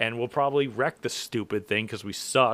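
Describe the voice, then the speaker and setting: Dry and close with no echo, a man's medium-pitched voice shows ordinary pitch variation and is an unremarkable speaking voice. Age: 30s. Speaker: racing podcast host and race car mechanic. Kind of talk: casual chat.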